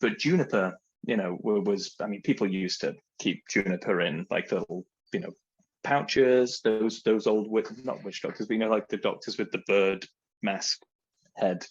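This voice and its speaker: With an English accent, a man speaks at a fairly low pitch with ordinary pitch variation. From England. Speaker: spirits brand representative. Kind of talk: casual chat.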